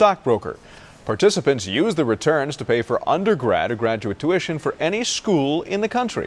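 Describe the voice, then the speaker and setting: With vocal fry and very wide pitch swings, a man is heard in a very clean recording with a silent background. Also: fairly high pitch for a man, moderate pace. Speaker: local TV news anchor. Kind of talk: local TV news anchor read.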